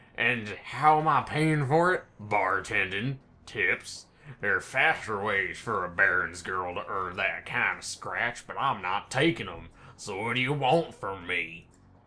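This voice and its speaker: A man uses a put-on character voice with fairly low pitch. His pace is fairly slow. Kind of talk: comic amateur voice acting. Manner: hard, defiant.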